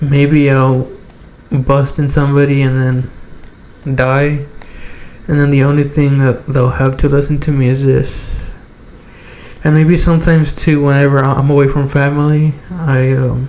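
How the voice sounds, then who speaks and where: A man's fairly high, monotone and flat voice at a moderate pace, broken by long, frequent pauses, with audible room echo and noticeable background noise. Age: 20s. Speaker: podcast host. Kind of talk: casual chat. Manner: halting.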